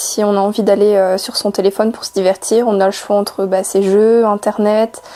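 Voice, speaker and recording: A woman's medium-pitched voice, flat and monotone, at a moderate pace with noticeable background noise. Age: 20s. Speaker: student. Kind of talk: interview. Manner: hesitant, many fillers.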